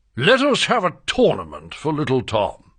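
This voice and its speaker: Over a quiet background, a man uses a put-on character voice, fairly high in pitch, at a moderate pace. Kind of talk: archaic storybook speech. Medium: read story.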